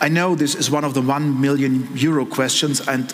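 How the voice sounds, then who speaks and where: In a German accent, a man talks at a medium pitch and moderate pace with fairly even intonation, amid audible room echo and noticeable background noise. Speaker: politician. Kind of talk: panel discussion. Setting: stage with audience.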